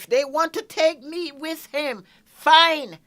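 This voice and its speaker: A raised, projected voice delivers lively intonation at a fairly slow pace. The recording is very clean with a silent background. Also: woman. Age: 60s. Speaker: store owner. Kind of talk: interview answer.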